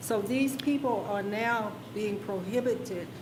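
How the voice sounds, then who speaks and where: Against noticeable background noise and audible room echo, a woman speaks at a fairly slow pace with ordinary pitch variation. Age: 70s. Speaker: planning commissioner. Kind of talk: public meeting discussion. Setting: county planning commission meeting.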